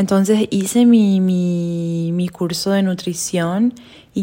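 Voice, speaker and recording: A woman's medium-pitched voice carries a dark, mellow tone and fairly even intonation. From Paraguay. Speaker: podcast co-host, health coach. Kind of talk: casual chat.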